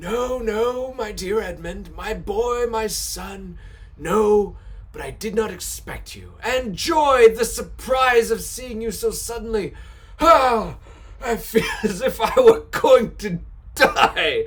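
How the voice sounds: A man uses a put-on character voice, pitched high. He goes at a fairly slow pace over light background noise.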